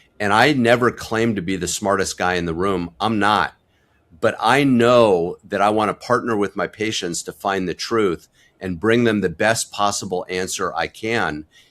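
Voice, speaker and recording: A man with an unremarkable speaking voice talks at a moderate pace in a fairly low pitch with ordinary pitch variation, on a very clean recording with a silent background. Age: 60s. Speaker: family physician. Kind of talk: interview. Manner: candid, conversational.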